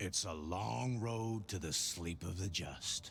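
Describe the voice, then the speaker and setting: Against clear background noise, a man uses a put-on character voice at a very deep, low pitch and a fairly slow pace. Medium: video game. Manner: cryptic, soothing.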